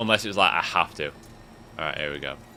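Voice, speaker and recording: Talking at a fairly quick pace, a man speaks with a northern English accent. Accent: northern English, moderate. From northern England. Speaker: gaming YouTuber. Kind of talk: let's play commentary. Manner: drops T sounds; casual, relaxed.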